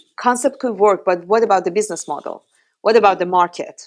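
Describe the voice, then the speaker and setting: With a strong Iranian accent, a woman talks at a medium pitch with lively intonation, on a very clean recording with a silent background. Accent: heavy Iranian. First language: Persian. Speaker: startup founder. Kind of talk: podcast interview.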